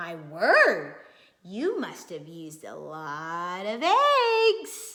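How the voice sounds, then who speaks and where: Very slow delivery in a put-on character voice. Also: woman. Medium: read story.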